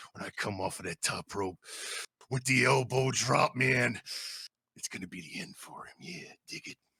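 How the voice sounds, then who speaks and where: A man puts on a raspy character voice at medium pitch. He leaves long, frequent pauses. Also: moderate pace. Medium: actual play.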